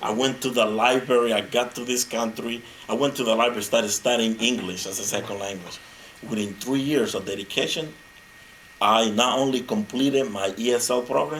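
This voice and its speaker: A man with a Spanish accent at medium pitch and a fairly quick pace, over noticeable background noise. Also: ordinary pitch variation. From Honduras. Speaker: motivational speaker. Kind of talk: speech. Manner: animated.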